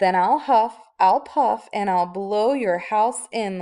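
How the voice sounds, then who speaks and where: A woman's growling put-on character voice at a medium pitch and fairly slow pace. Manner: growling, threatening.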